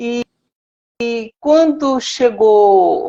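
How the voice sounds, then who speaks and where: Her pitch is high, and this woman's pitch variation is ordinary. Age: 60s. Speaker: cancer survivor. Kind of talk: testimony.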